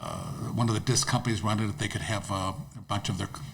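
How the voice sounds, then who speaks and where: The man's voice sits at a medium pitch and is somewhat breathy. His pitch varies in an ordinary way. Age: 70s. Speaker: disc golf course owner. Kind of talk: podcast interview. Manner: halting, repetitive.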